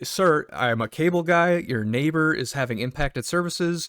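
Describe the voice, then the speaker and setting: In a dry, close recording that is very clean with a silent background, a man with an American accent talks at a moderate pace with lively intonation. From US Midwest. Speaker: cable technician and gaming storyteller. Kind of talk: casual storytelling. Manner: animated.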